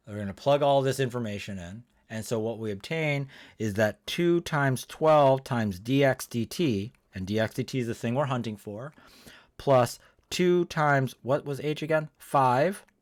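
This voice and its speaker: A man with an unremarkable speaking voice, medium pitch and ordinary pitch variation, at a moderate pace, on a very clean recording with a silent background. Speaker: math teacher. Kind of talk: lecture.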